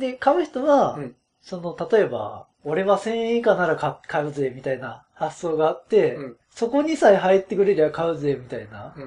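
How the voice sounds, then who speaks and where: Talking at a moderate pace, a man with a high voice makes very wide pitch swings and big swings in loudness. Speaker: podcast host. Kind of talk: casual chat.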